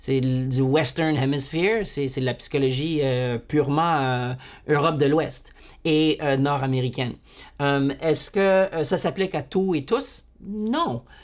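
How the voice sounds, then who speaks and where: Very slow and fairly high-pitched, a man speaks with ordinary pitch variation on a very clean recording with a silent background. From Manitoba, Canada (Franco-Manitoban, Métis of Saint-Boniface). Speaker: university psychology lecturer. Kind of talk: lecture. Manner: halting, many repetitions and fillers.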